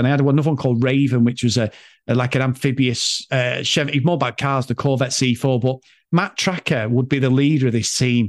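Against a quiet background, a man talks at a fairly quick pace at medium pitch. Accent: Mancunian. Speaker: podcaster. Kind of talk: casual chat. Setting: video call. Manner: animated.

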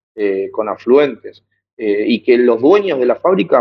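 A man with a Buenos Aires accent speaks at a moderate pace and a medium pitch. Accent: Rioplatense Spanish (Buenos Aires). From Buenos Aires conurbano, Argentina. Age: 20s. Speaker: activist and teacher. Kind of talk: interview. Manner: hesitant, many fillers and repetitions.

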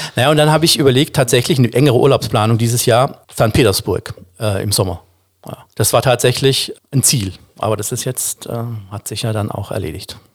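A man with a medium pitch speaks at a fairly quick pace, his voice somewhat breathy and his pitch variation ordinary. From Baden, southwest Germany (Offenburg). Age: 50s. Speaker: singer. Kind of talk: casual chat.

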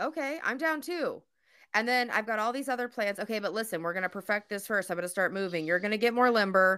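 Speech comes at a very fast pace with lively intonation. The recording is very clean and the background silent. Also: woman, fairly high pitch for a woman. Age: 30s. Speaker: podcast host. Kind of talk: casual chat. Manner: joking.

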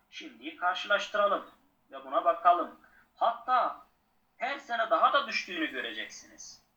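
The man talks at a fairly slow pace. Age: 40s. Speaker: former journalist, book cafe owner. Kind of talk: interview.

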